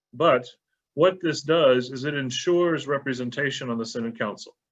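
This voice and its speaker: Here a man at a medium pitch talks at a fairly quick pace. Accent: Texan. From Texas. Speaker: bishop. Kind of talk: panel presentation.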